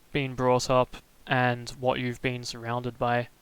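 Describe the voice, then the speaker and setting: A man of medium pitch with a slight Australian accent. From Australia, Melbourne. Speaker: streamer. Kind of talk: casual live stream chat. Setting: live stream. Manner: soft-spoken; hesitant, many fillers.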